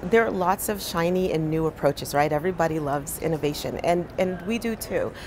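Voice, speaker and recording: A woman's fairly low voice with an American accent, at a fairly quick pace with hardly any pauses and ordinary pitch variation, over noticeable background noise. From New Jersey, Monmouth County. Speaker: physician and public health leader. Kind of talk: interview. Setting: conference. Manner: hesitant with many fillers. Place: studio. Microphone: lapel.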